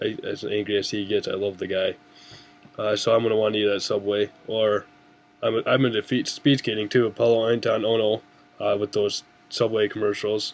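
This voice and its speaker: A man with an American accent speaks fairly quickly at a fairly low pitch. His intonation is monotone and flat over noticeable background noise. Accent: slight Canadian-like. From Upper Peninsula of Michigan, US. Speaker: student. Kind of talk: class assignment video presentation. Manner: casual, with many fillers.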